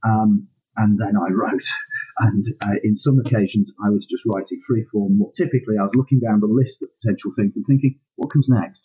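A man's somewhat breathy, dark and mellow voice at medium pitch, with ordinary pitch variation, a fairly quick pace, and a dry, close sound with no echo. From northern England, Hull. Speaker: aspiring novelist, university administrator. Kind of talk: interview. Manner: hesitant, many ums.

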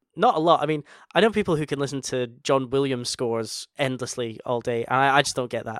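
A man's medium-pitched voice in a Scottish accent, fairly quick, with ordinary pitch variation and a dry, close sound without echo. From Scotland. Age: 30s. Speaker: podcast host. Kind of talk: casual chat.

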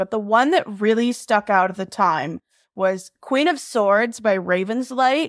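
Heard in a dry, close sound with no echo, an ordinary speaking voice moves at a moderate pace with ordinary pitch variation. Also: woman. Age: 20s. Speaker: fanfiction writer. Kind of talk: casual chat.

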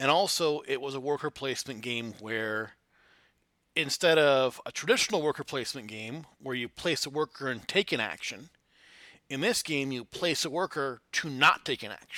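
Bright and sharp in tone, a man with an American accent and a fairly high pitch speaks at a moderate pace. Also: dry, close sound with no echo, very clean recording, silent background. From Flint, Michigan, US Midwest. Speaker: board game designer. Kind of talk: interview.

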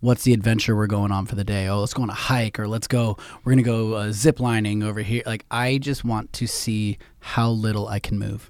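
A man with a Californian accent at medium pitch and moderate pace, in a very clean recording with a silent background. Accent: general American, Californian. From San Francisco Bay Area. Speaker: podcast host. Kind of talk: casual interview chat. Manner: casual, profane, rambling.

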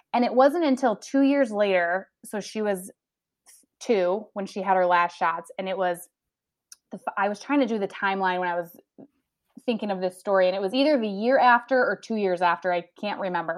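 Speaking in an unremarkable speaking voice, a woman talks at a fairly quick pace with a medium pitch and ordinary pitch variation. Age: 30s. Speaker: nurse. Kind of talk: interview.

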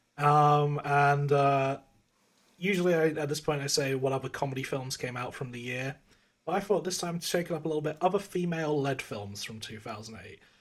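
With an English accent, a man talks at a fairly quick pace, his fairly high pitch showing ordinary variation. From England. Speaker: podcast co-host. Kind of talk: casual chat. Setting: video call.

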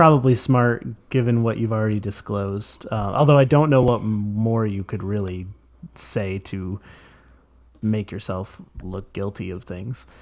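A man talks in a normal speaking voice with a fairly low pitch. His intonation is lively, his pace fairly slow, and his loudness swings widely. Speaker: podcast host. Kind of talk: casual comedy podcast chat.

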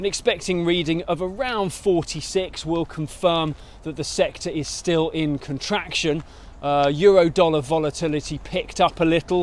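A man's high voice with a British accent, at a moderate pace, with ordinary pitch variation. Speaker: market news presenter. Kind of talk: market briefing monologue. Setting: outdoors on foot. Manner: casual with filler hesitations.

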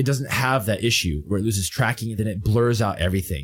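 With vocal fry and lively intonation, a man talks at a medium pitch and a fairly quick pace. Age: 30s. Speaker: fitness streamer. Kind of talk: casual chat.

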